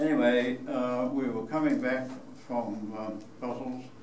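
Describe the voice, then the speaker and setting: A man's monotone, flat delivery against noticeable background noise. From New Zealand. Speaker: war veteran. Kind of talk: public talk to an audience. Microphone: camera far.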